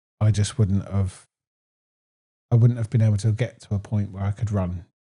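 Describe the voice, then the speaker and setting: At a moderate pace, a man speaks with a fairly low pitch, a dark, mellow tone, a somewhat breathy quality and monotone, flat intonation. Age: 30s. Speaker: weight loss interviewee. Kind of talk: casual interview.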